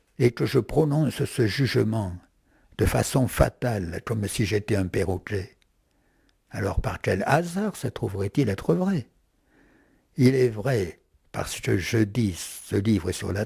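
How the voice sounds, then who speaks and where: In a very clean recording with a silent background, a man with a fairly low, dark, mellow and somewhat breathy voice talks very slowly with lively intonation, long and frequent pauses, and big swings in loudness. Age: 80s+. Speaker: philosopher. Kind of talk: interview. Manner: halting.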